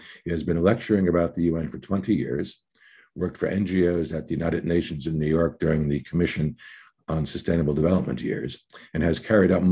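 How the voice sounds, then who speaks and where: Very fast speech in a dark, mellow tone with vocal fry and ordinary pitch variation. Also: man. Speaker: webinar moderator. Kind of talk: formal introductions. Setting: online webinar video call.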